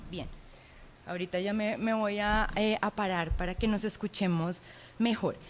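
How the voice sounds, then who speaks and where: A woman with a Bogotá accent, at a medium pitch and a fairly slow pace, with fairly even intonation and long, frequent pauses. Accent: Bogotá (rolo) accent, acquired. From Colombia, Pereira. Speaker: anthropology professor. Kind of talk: lecture. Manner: hesitant, many filler sounds.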